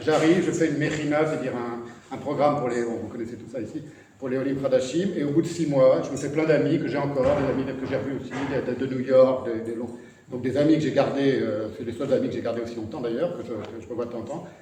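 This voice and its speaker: A man of medium pitch talks at a very fast pace with fairly even intonation. There is audible room echo and noticeable background noise. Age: 60s. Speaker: writer and artist. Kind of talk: talk to an audience. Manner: halting.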